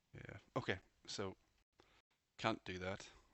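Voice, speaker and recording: Mumbling at a very slow pace, a man speaks with vocal fry. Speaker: penetration tester learning security. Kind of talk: casual live hacking walkthrough with thinking aloud. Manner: mumbling, muttering to self.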